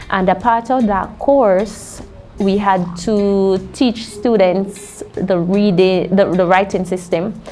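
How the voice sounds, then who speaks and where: Over music in the background, a woman with a Jamaican accent speaks at a very slow pace, with very even loudness and fairly even intonation. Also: medium pitch for a woman. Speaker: linguist and university lecturer. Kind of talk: interview.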